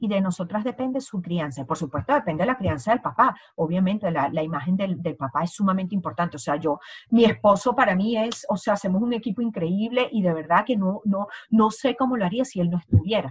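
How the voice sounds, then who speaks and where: This woman has an ordinary speaking voice at a medium pitch. She talks at a fairly quick pace with lively intonation and hardly any pauses. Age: 40s. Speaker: essential oils advocate. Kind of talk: interview.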